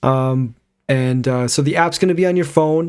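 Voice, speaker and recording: In a plain, everyday voice, the man keeps a moderate pace and shows ordinary pitch variation. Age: 30s. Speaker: podcast co-host. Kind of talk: casual chat.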